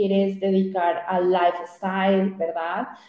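Noticeable background noise and audible room echo accompany speech delivered at a fairly slow pace. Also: woman. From Colombia, Popayán. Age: young. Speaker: digital strategist. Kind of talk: interview.

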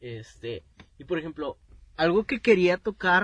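A man's high voice at a very slow pace. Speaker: podcast co-host. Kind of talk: casual chat.

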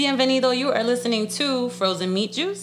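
A woman's animated tone at a moderate pace, with noticeable background noise. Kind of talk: casual chat.

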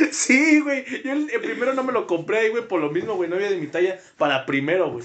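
Noticeable background noise sits behind a man speaking at a moderate pace. His pitch swings very widely. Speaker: podcast co-host. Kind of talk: casual chat.

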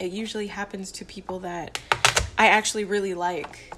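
The intonation stays fairly even. Noticeable background noise runs behind the voice. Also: woman. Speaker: solo podcaster. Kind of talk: casual monologue. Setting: home kitchen. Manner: rambling, halting.

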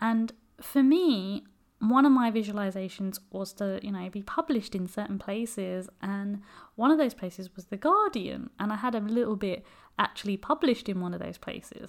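With a British accent, a woman talks at a moderate pace and a medium pitch. Her pitch varies in an ordinary way, while her loudness swings widely. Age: 30s. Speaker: careers advisor and podcast host. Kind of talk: solo advice podcast monologue. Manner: casual, with frequent fillers.

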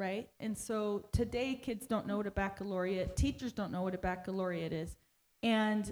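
Using an ordinary speaking voice, a woman talks at medium pitch with ordinary pitch variation. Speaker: pastor's wife and interpreter. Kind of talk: sermon interpreting. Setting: church.

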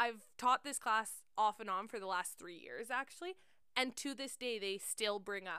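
The voice is raised and projected, with a Canadian accent and a bright, sharp tone. It sounds animated and keeps a moderate pace. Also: woman. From central Alberta, Canada. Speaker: podcast host, teacher. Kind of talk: casual chat.

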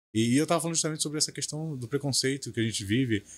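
A man talks with lively intonation. The recording is very clean, and the background is silent. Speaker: tour guide and history student. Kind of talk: casual podcast interview.

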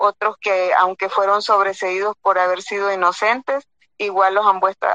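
A woman's normal speaking voice, medium in pitch, fairly slow, with a dry, close sound and no echo. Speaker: lawyer and former judge, human rights advocate. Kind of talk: panel discussion. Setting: phone call.

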